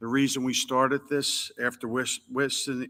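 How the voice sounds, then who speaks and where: In a Philadelphia accent, a man with a bright, sharp tone talks at a fairly slow pace in a flat monotone, on a very clean recording with a silent background. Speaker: business representative. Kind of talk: roundtable discussion.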